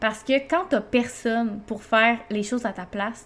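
A woman's fairly high voice in a Quebec accent, at a fairly slow pace with ordinary pitch variation. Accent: Québécois French. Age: 20s. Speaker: podcast host, mother and entrepreneur. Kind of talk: personal monologue. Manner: casual, many filler hesitations.

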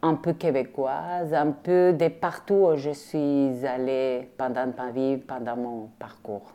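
A woman's dark, mellow voice at a very slow pace against a quiet background. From Argentina, Rosario. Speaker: visual artist. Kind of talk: interview testimony.

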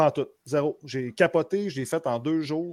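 On a very clean recording with a silent background, a man with a Quebec accent speaks at a fairly high pitch with lively intonation. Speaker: podcast co-host, gamer. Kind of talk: casual chat.

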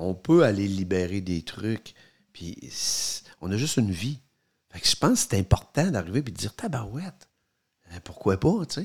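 On a very clean recording with a silent background, a man with a Quebec accent speaks at a fairly low pitch and moderate pace, somewhat breathy, with very wide pitch swings and long, frequent pauses. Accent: Québécois French. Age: 50s. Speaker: podcast co-host, father. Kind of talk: casual chat.

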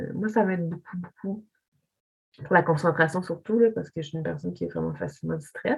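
A somewhat breathy woman's voice, fairly low in pitch, at a fairly quick pace with ordinary pitch variation. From Quebec, Montreal (Pointe-Claire). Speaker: visual artist. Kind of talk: casual chat. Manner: halting.

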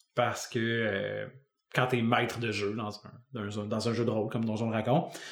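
A man with a Quebec accent speaks at a medium pitch. Room echo can be heard in the recording. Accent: Québécois French. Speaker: podcast co-host, music teacher. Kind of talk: casual chat.

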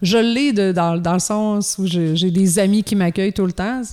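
In a Quebec accent, a dark, mellow voice shows ordinary pitch variation on a very clean recording with a silent background. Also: woman. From Quebec, Gaspésie. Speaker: children's rock musician. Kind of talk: casual interview chat.

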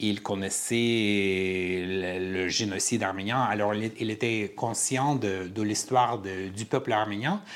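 A man with an Armenian accent speaks at a very slow pace in a fairly low pitch with fairly even intonation. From Armenian family, raised in five countries incl. Uzbekistan. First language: Armenian (speaking French). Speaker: theatre director and playwright. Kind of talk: interview. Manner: halting.

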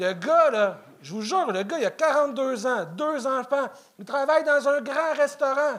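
The pace is very slow. The intonation stays lively. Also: man. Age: 40s. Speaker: amateur comedian. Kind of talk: stand-up.

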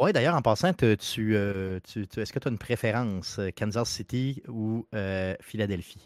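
A man speaks in an unremarkable speaking voice, fairly low-pitched and fairly slow, with ordinary pitch variation. The recording is very clean, with a silent background and a dry, close sound with no echo. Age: 40s. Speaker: video game podcast guest. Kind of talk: casual chat.

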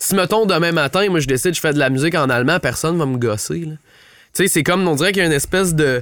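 On a very clean recording with a silent background, a man talks very fast at a fairly high pitch. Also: ordinary pitch variation. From Ottawa, Canada. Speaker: singer-songwriter and producer. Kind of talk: casual chat. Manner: halting, many repetitions.

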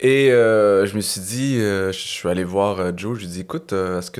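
A man talks in a plain, everyday voice, fairly low in pitch with ordinary pitch variation. The recording is very clean, with a silent background. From Quebec (Laval, north shore of Montreal), some childhood years in Algeria. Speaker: stand-up comedian. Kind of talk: casual chat.

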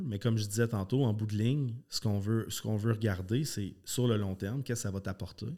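A fairly low-pitched man at a moderate pace with ordinary pitch variation. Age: 30s. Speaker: karate school owner and former competitive athlete. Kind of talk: casual interview chat. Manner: animated, passionate.

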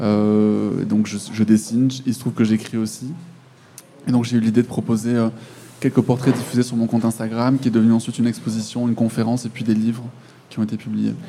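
A man speaks at a fairly quick pace in a monotone, flat intonation. Long, frequent pauses break up his speech. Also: medium pitch for a man. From France. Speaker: author and illustrator. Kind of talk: interview.

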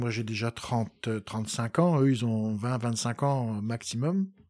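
A man at a medium pitch with ordinary pitch variation, on a very clean recording against a silent background. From France, Poitou (Poitiers). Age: 50s. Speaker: historian. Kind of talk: interview. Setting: home of the host.

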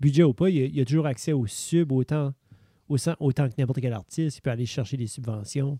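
A somewhat breathy, dark, mellow voice at a fairly quick pace, with ordinary pitch variation and dry, close sound with no echo. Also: man, fairly high pitch for a man. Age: 30s. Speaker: podcast co-host. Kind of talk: casual chat.

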